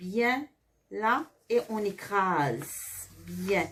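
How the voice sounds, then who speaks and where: Medium-pitched female speech. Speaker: Sunday school teacher. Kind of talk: tutorial. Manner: slow.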